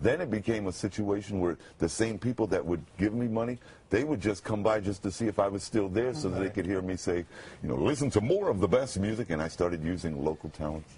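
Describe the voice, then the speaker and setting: This man's voice is resonant, somewhat breathy and dark and mellow in tone, pitched fairly low with ordinary pitch variation and delivered at a very fast pace. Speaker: radio announcer. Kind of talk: TV interview answer. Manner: emotional.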